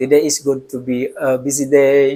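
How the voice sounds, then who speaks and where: A man's fairly high voice, dark and mellow, delivered in a flat monotone. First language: Indonesian. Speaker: school principal learning English. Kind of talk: casual vlog monologue. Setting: office. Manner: halting, with self-corrections.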